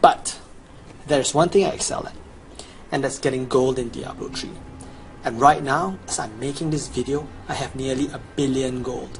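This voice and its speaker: Amid noticeable background noise, a man speaks with big swings in loudness and long, frequent pauses. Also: medium pitch for a man, moderate pace. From Chinese background. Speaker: gamer, video guide maker. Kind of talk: gameplay sales pitch. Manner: animated.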